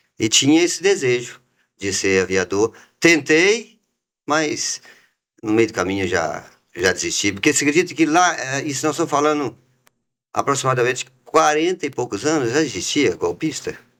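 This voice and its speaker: At a moderate pace, a man with a fairly high pitch and vocal fry swings his pitch very widely, leaving long, frequent pauses on a very clean recording with a silent background. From Minas Gerais, Brazil (raised in Itabira). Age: 60s. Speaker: business founder. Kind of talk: interview.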